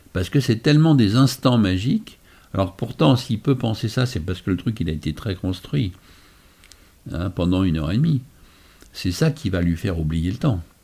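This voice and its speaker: With a dark, mellow tone, a somewhat breathy man speaks at a moderate pace, swinging very widely in pitch and leaving long, frequent pauses. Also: fairly low pitch for a man. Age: 60s. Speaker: magician. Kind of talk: casual chat.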